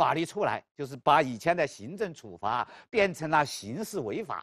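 A man's voice with vocal fry and very wide pitch swings, dry and close with no echo, over a quiet background. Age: 50s. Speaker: law professor. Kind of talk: lecture.

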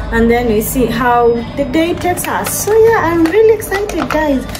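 Clear music sits behind the voice. A woman talks at a moderate speed. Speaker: vlogger. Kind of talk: casual vlog chat. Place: kitchen. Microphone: phone near.

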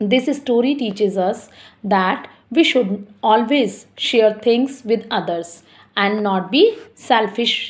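In an Indian accent, a woman speaks very slowly in a fairly high, somewhat breathy voice with ordinary pitch variation. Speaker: school teacher. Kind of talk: online class lesson. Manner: slow, explanatory.

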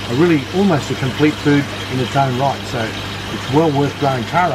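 Someone talks at a fairly quick pace over loud background noise. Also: man. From Australia. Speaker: aquaponics farmer and teacher. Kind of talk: guided walking tour. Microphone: phone near.

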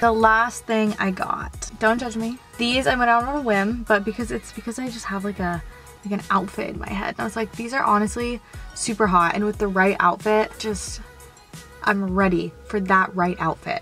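A woman's voice has a dry sound with no echo. Faint music plays in the background. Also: ordinary pitch variation, moderate pace. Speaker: fashion vlogger. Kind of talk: casual vlog chat. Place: car. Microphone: phone near.

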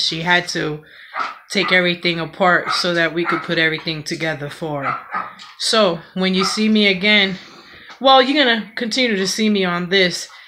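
There is noticeable background noise. The voice moves at a moderate pace with ordinary pitch variation. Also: woman. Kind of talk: casual vlog chat. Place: kitchen. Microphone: phone near.

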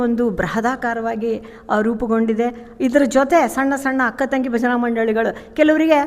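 Noticeable background noise runs through the clip. A woman speaks at a high pitch with fairly even intonation. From north Karnataka, Vijayapura. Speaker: bhajan group member. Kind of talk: testimony.

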